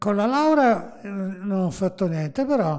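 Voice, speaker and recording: Very slowly, a man speaks with lively intonation, his high voice dark and mellow in tone. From Naples, Italy. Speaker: music composer and TV writer. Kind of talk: casual interview.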